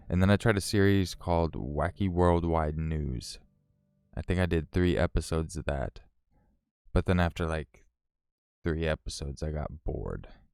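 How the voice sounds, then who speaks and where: A man's very deep, low voice in an American accent, dry and close with no echo, at a moderate pace with ordinary pitch variation, long, frequent pauses and music in the background. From Northern California. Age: 30s. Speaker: story narration YouTuber. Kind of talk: live stream chat. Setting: live stream. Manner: casual, filler-heavy.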